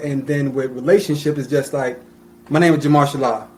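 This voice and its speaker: A man speaks loudly at a fairly quick pace with an American accent. His pitch sits fairly high. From US Northeast, Plainfield (New Jersey). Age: 30s. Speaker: podcast guest, small business owner. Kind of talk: casual chat. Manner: passionate.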